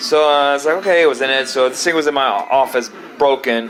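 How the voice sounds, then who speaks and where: Speaking very fast in a fairly high voice, a man with an American accent is heard over noticeable background noise. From United States. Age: 50s. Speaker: retro video game collector. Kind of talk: casual show-and-tell video. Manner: rambling, repetitive, halting.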